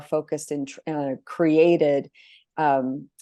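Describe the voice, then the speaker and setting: Against a quiet background, a woman speaks with a very deep, low pitch, a dark, mellow tone and fairly even intonation. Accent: American. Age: 50s. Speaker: abuse survivor. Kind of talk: testimony. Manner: halting.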